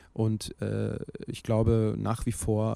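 A man's dark, mellow voice at medium pitch, on a very clean recording with a silent background. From Berlin, Germany. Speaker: rapper and author. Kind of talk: interview.

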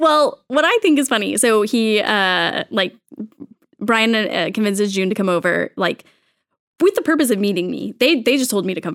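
With an American accent, a woman talks at a moderate pace in a fairly high pitch. Her intonation is lively, and vocal fry can be heard. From Texas. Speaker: children's ministry coordinator. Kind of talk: casual chat.

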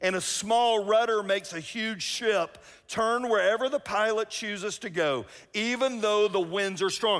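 This loud voice has a Southern US accent and a fairly slow pace. The recording is very clean, with a silent background. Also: man. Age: 50s. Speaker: pastor. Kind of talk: sermon. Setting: church with live audience.

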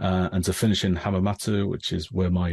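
A man talks at a very fast pace in a fairly low pitch. His voice is somewhat breathy over a quiet background. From northern England, Grimsby. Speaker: engineer. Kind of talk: casual chat.

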